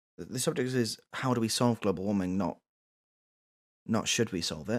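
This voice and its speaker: Speaking with a British accent, a man keeps a moderate pace, medium pitch and ordinary pitch variation. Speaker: radio talk show host. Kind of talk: comedic call-in talk show. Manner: repetitive, halting.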